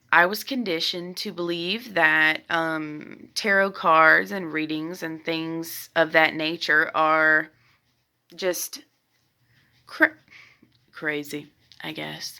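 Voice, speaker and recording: A woman with a Southern US accent, a fairly low pitch, a bright, sharp tone and ordinary pitch variation, at a very slow pace with long, frequent pauses and big swings in loudness, in a very clean recording with a silent background. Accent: Southern US (Georgia). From US South, middle Georgia. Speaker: tarot reader, youtuber. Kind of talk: casual vlog talk to camera. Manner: hesitant, many fillers and restarts.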